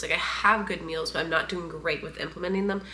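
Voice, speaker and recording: Over noticeable background noise, a woman's medium-pitched voice comes through. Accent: American. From US Midwest. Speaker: lifestyle vlogger. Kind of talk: casual vlog talk to camera. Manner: casual, conversational.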